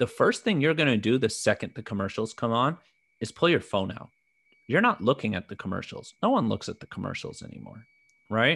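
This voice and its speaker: The speaker has a plain, everyday voice. Delivery is fairly quick, with lively intonation. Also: man, medium pitch for a man. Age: 30s. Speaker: podcast co-host. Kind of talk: casual chat.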